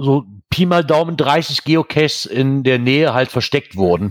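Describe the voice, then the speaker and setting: The speech comes at a fairly slow pace with ordinary pitch variation, recorded with a dry, close sound and no echo. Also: man. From Germany, near the Eifel. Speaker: podcast host. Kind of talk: casual chat.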